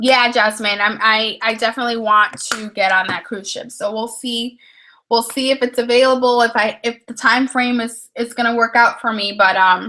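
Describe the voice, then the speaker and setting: A woman speaks at a moderate pace with fairly high pitch. Her intonation is monotone and flat. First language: Spanish. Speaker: study skills YouTuber. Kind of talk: casual chat. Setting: livestream at home while getting ready. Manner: casual with frequent fillers and restarts.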